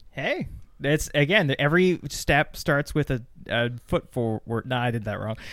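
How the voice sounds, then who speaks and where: In a very clean recording with a silent background, a man's voice shows ordinary pitch variation. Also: fairly high pitch for a man, moderate pace. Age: 20s. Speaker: podcast co-host. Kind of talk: casual chat.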